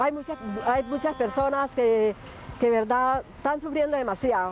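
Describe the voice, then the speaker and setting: Music can be heard behind the speaker. The woman's voice is high-pitched. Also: ordinary pitch variation, fairly slow pace. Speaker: street interviewee. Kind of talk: street interview.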